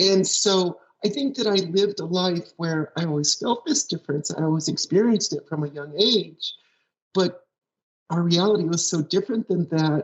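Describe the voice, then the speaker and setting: With a plain, everyday voice, a woman talks at a moderate pace in a medium pitch and lively intonation. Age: 60s. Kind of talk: interview.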